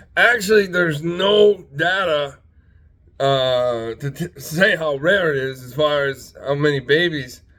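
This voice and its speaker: This man has a fairly high pitch and a bright, sharp tone, with ordinary pitch variation and big swings in loudness. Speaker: channel host, self-styled spiritual speaker. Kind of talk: casual monologue to camera. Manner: repetitive, filler-heavy, halting.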